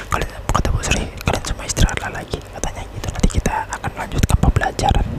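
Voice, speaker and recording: A whisper is heard. Background noise is noticeable behind it. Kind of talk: ASMR horror story narration for sleep. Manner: stiff, hesitant delivery.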